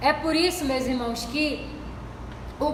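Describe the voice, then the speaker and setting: A woman with a high-pitched voice is heard over noticeable background noise, with audible echo from the room. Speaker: church deaconess, Bible study teacher. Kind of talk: Bible study lesson.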